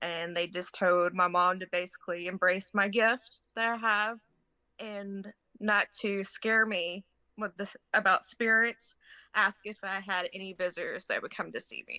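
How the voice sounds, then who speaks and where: A woman's bright, sharp tone at a fairly slow pace, with fairly even intonation over a quiet background. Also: medium pitch for a woman, big swings in loudness, dry, close sound with no echo. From Kentucky. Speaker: paranormal medium. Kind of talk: interview.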